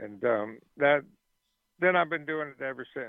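A man has an ordinary speaking voice, talking at a moderate pace with ordinary pitch variation. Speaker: musician. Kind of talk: interview.

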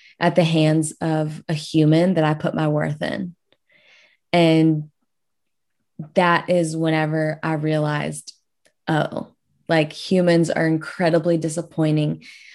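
A woman's very deep, low voice in a South Louisiana accent, fairly slow, with long, frequent pauses and monotone, flat intonation. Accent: South Louisiana Southern US. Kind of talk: casual interview.

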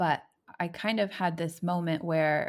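With an American accent and vocal fry, a woman speaks at a moderate pace on a very clean recording with a silent background. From United States. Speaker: missionary church planter. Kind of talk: interview conversation.

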